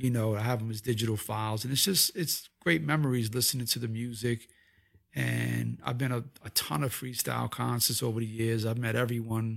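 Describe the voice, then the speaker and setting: A man with a New York accent at a fairly quick clip. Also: medium pitch for a man, ordinary pitch variation. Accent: New York area. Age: 50s. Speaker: visual artist. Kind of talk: casual interview. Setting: host's home office.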